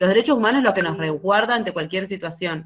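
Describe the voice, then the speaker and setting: With an ordinary speaking voice, a woman talks at a fairly low pitch with ordinary pitch variation. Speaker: university lecturer. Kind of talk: lecture.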